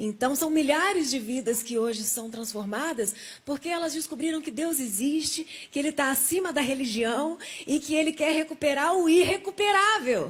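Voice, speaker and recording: Lively in intonation, a woman speaks at a high pitch. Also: moderate pace. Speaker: testimony guest, survivor of coma. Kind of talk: testimony.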